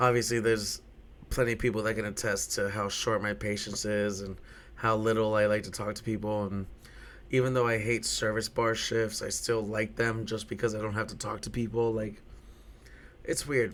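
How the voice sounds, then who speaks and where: A man speaks in a fairly low, monotone voice with flat intonation. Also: moderate pace. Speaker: podcast host and bartender. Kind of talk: casual solo podcast monologue. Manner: loud; repetitive, stammering on words.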